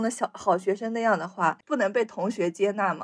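In a strong Shanxi accent, a woman speaks in a fairly high pitch with ordinary pitch variation. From Shanxi, China. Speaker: podcast co-host. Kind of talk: casual chat.

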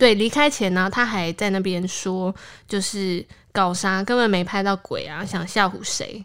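A woman speaks with a Taiwanese accent. Her intonation stays fairly even. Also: medium pitch for a woman, fairly slow pace. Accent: Taiwanese Mandarin. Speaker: podcast host. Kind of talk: casual chat.

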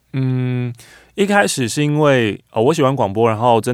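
Heard on a very clean recording with a silent background, a man with an ordinary speaking voice talks at a fairly quick pace in a medium pitch, with ordinary pitch variation. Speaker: radio host. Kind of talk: interview conversation.

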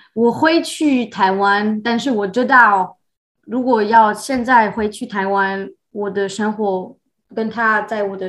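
A woman with a French accent speaks very slowly at a medium pitch, with ordinary pitch variation. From France. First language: French (speaking Chinese). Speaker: expat professional. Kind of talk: casual interview. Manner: halting, many fillers.

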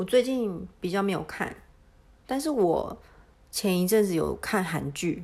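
A woman speaks at a very slow pace with lively intonation, leaving long, frequent pauses. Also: medium pitch for a woman. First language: Mandarin Chinese (speaking Japanese). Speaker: podcast co-host. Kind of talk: casual chat.

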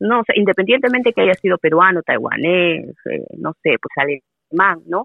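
A woman is speaking. Her pace is moderate. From Peru. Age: 40s. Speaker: Spanish teacher. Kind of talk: casual interview conversation.

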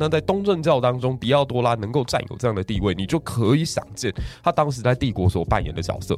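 A man's medium-pitched, animated voice at a very fast pace, with very wide pitch swings. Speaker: high school history teacher. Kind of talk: casual history storytelling chat.

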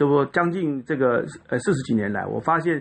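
A normal speaking voice from a man, medium in pitch, with lively intonation at a moderate pace. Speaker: violinist and violin teacher. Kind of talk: interview.

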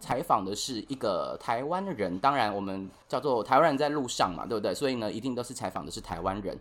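With a plain, everyday voice, a man speaks at a fairly quick pace with hardly any pauses and lively intonation at medium pitch. The recording is very clean, with a silent background. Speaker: podcast host. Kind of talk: scripted narration; interview.

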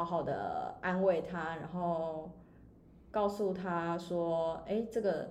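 A woman with a dark, mellow tone is heard with audible room echo. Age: 30s. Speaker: online shop owner and finance blogger. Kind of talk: casual chat. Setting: rented recording space.

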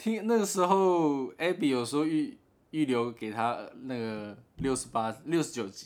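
On a very clean recording with a silent background, a man speaks fairly slowly in a fairly high pitch that swings very widely. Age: 20s. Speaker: podcast co-host. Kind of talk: casual chat.

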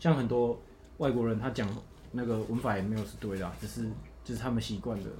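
Over audible room echo, a man with a dark, mellow tone and vocal fry speaks very fast at a fairly low pitch, his intonation fairly even, with long, frequent pauses. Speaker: graduating university student. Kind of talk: casual chat.

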